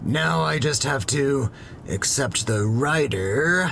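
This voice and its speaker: A man uses a put-on character voice pitched fairly high. He talks very slowly over clear background noise. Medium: audio drama. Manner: rambling, awkward.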